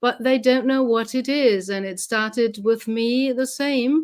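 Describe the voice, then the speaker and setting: On a very clean recording with a silent background, a woman with a German accent speaks very slowly in a high voice with fairly even intonation. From Germany. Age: 60s. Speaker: medium. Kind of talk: interview.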